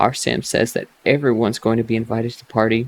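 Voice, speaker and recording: Calm and soft-spoken, a man talks at a fairly quick pace with a medium pitch and vocal fry. The sound is dry and close with no echo. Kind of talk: reading a fantasy novel aloud for relaxation. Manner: soft-spoken, calm.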